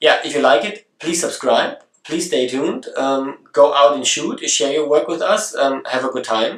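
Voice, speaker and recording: Hardly pausing at all, a man with a German accent keeps a moderate pace, a fairly high pitch and ordinary pitch variation. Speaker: photography video blogger. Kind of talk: casual vlog introduction. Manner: halting, with many fillers and restarts.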